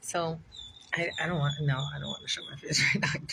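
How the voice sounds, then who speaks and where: A put-on character voice, raspy and middle in pitch, at a fairly quick pace. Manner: sleepy, low-energy.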